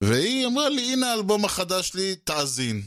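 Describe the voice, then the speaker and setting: A man speaks with an Israeli accent. His intonation is lively. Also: very clean recording, silent background. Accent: Hebrew-accented English. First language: Hebrew. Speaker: podcast host and interviewer. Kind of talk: interview. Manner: hesitant, with fillers.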